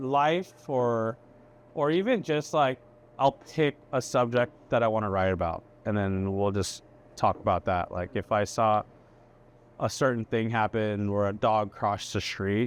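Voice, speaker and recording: A man speaks in an ordinary speaking voice at a medium pitch. His pace is fairly slow, with ordinary pitch variation. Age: 40s. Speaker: chef. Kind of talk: casual chat. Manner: casual, filler-heavy.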